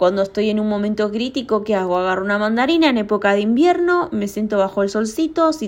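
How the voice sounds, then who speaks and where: A woman talks at a fairly quick pace. Her voice is fairly high, with lively intonation. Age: 30s. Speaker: podcaster. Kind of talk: casual solo monologue.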